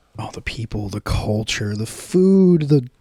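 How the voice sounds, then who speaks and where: A man with an American accent, at a fairly slow pace. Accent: American, noticeable. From United States. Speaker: podcast guest, local bar regular. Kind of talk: casual chat. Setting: home recording at a flat.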